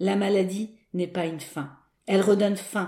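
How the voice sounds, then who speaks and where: Her voice has a medium pitch and a dark, mellow tone, and the woman talks at a fairly slow pace. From Paris, France. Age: 50s. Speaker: association founder. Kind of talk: interview testimony. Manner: hesitant, many fillers.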